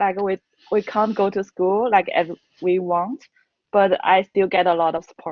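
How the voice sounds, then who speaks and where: A woman speaks at a moderate pace and a medium pitch. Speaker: master's student. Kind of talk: panel Q&A. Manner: halting.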